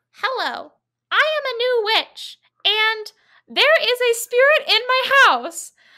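Using a put-on character voice, a woman speaks at an extremely high pitch. She goes at a fairly slow pace in a very clean recording with a silent background. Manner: panicked, distressed.

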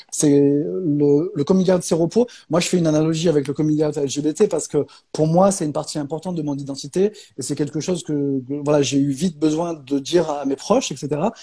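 A man talks at a moderate pace. Behind him, the background is quiet. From Provence, France. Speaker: author. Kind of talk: casual interview chat. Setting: video call. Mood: calm, earnest. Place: home room.

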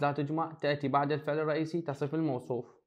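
The speaker's intonation is monotone and flat at a fairly quick pace. The background is quiet. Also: man. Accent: Baghdadi. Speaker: high school English teacher. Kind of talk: lecture.

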